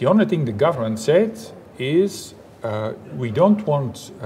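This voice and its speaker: The speaker has a Dutch accent and very wide pitch swings, with light background noise. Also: man. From Belgium, Flanders. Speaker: engineering professor; guest. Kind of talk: interview; interview answer. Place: hall.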